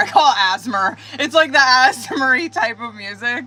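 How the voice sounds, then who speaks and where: Over noticeable background noise, a woman talks with a Montana accent. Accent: slow Montana. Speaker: tarot reader. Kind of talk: casual livestream chat. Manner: slow; casual, swearing slang.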